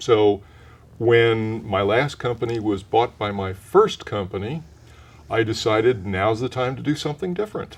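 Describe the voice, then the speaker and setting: A man's unremarkable speaking voice, medium in pitch, with an American accent, a moderate pace and ordinary pitch variation. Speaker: voice actor, retired corporate marketing professional. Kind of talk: interview answer, conversational.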